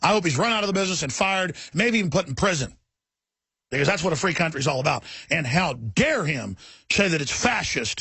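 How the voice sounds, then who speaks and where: In a raspy put-on character voice, a man talks at a very fast pace with lively intonation. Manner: sarcastic, mocking.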